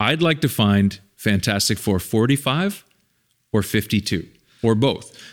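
An ordinary speaking voice moves at a fairly slow pace, with lively intonation and very even loudness. The recording is very clean, with a silent background. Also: man, fairly low pitch for a man. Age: 50s. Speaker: documentary filmmaker and podcast host. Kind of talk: casual chat.

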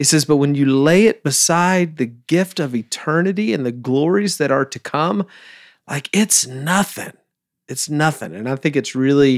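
Using an unremarkable speaking voice, a man talks at a moderate pace with fairly high pitch and ordinary pitch variation. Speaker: church team member, co-host. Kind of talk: casual chat.

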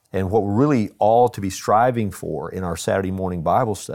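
In a Texan accent, a man speaks with a dark, mellow tone. The recording is very clean, with a silent background. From Texas. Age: 60s. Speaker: pastor. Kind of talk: casual chat.

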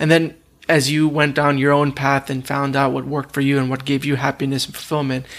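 In a monotone, flat delivery, a man speaks fairly quickly at a fairly high pitch. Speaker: podcast host. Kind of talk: interview conversation.

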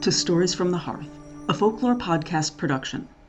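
A woman speaks with a fairly low pitch. Her pitch swings very widely. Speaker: podcast announcer. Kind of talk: scripted intro and outro announcement.

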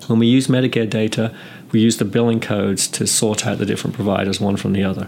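Talking at a very fast pace with monotone, flat intonation, a man with a fairly low pitch is heard over noticeable background noise. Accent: English. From England. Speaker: nurse anesthetist and professor. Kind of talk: interview. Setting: recorded interview, 2015.

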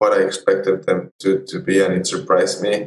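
A man is speaking. He has a Spanish accent. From Colombia and Ecuador. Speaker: photojournalist. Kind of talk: interview.

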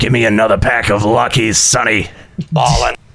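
Putting on a raspy character voice, a man speaks at a moderate pace with a medium pitch.

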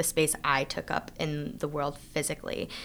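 This woman's voice is very deep and low, with a bright, sharp tone. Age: 20s. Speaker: spoken word poet. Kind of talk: interview. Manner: casual, many fillers.

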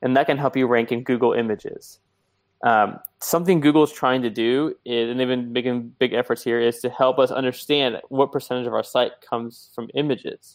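Talking at a fairly quick pace, a man uses a medium pitch and fairly even intonation. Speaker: SEO expert. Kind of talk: casual interview chat. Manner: fast talker.

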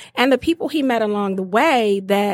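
A woman with an American accent speaks in a plain, everyday voice at a fairly high pitch with ordinary pitch variation. The recording is very clean, and the background is silent. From Detroit, East Side. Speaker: nonprofit fundraising director. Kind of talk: interview.

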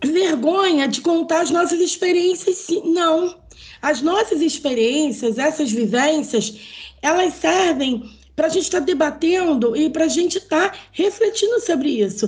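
A woman's extremely high voice with lively intonation and very even loudness. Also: fairly slow pace. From Rio de Janeiro state, Brazil. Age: 50s. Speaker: teacher and samba songwriter. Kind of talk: casual interview.

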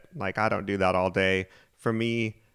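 An animated man's very deep, low voice, dry and close with no echo, on a very clean recording with a silent background. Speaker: podcast host. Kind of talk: casual banter, podcast intro and interviews. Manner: joking, self-deprecating, animated.

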